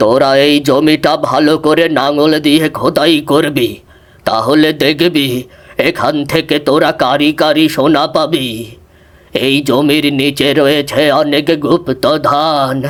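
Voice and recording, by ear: A man uses a cartoonish character voice at a fairly high pitch and a very slow pace. His intonation is monotone and flat, and his loudness stays very even.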